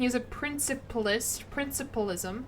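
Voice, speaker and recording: A woman with an American accent and ordinary pitch variation, over music in the background. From US South, Tennessee. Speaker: video game streamer. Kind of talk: casual live-stream commentary. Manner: casual, rambling with self-corrections.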